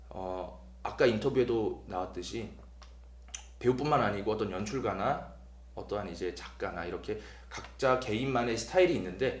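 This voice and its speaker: A man with a Gyeongsang accent speaks at a fairly low pitch and moderate pace, with vocal fry and very wide pitch swings. He leaves long, frequent pauses, and audible room echo surrounds his voice. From South Korea, Busan (Gyeongsang). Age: 20s. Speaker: stage actor. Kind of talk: promotional interview.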